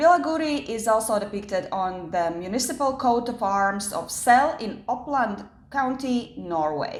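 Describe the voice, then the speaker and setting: In a room with audible echo, a woman with a non-native accent speaks at a fairly slow pace in a fairly high pitch, with lively intonation and hardly any pauses. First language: not English. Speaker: YouTuber. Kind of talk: storytelling vlog. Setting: home kitchen. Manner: casual, with fillers.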